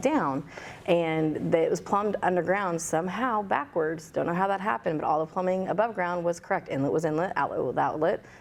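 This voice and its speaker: At a fairly quick pace, a woman talks in a fairly low pitch with ordinary pitch variation. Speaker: pool business owner. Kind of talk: podcast interview. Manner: loud, outspoken.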